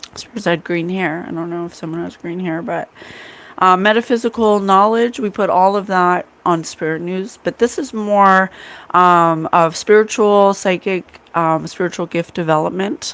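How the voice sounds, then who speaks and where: Speaking at a moderate pace, a woman uses a medium pitch and ordinary pitch variation. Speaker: psychic medium and podcast host. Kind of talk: casual livestream chat.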